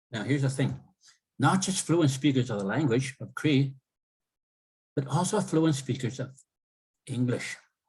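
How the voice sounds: A man speaks at a fairly slow pace with lively intonation and long, frequent pauses. His medium-pitched voice carries a husky, rough edge and a slightly mellow tone.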